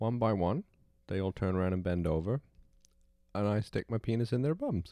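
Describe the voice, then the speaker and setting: In a British accent, a man speaks with a dark, mellow tone and fairly low pitch at a fairly slow pace. The sound is dry and close, with no echo. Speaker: host's partner. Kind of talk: casual chat.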